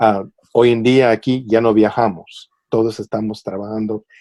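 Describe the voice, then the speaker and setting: A man talks fairly slowly at a medium pitch, his tone dark and mellow. The sound is dry and close, without echo. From US, raised in California border area after leaving Tijuana at eight. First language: English dominant, Spanish heritage (speaking Spanish). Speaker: public broadcaster editor, interview guest. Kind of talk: interview. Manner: halting, many fillers and repetitions.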